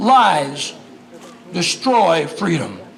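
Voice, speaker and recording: Noticeable background noise sits behind a man speaking with lively intonation. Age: 80s+. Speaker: former congressman, political speaker. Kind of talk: political speech. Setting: outdoors at a picnic. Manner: energetic, inspirational.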